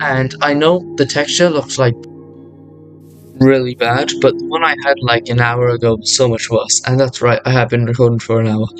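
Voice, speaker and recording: Over music in the background, a man talks at a moderate pace in a medium pitch. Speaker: gaming youtuber. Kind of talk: tutorial. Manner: halting, many fillers and restarts.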